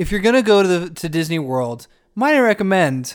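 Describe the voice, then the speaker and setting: A man's high, playful, animated voice at a fairly quick pace, with very wide pitch swings. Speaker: co-host. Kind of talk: casual comedic podcast banter. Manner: playful, animated, riffing.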